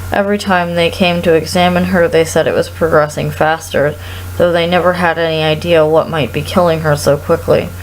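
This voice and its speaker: Noticeable background noise sits behind a woman speaking at a fairly quick pace. Her loudness stays very even. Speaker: performer. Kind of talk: read story.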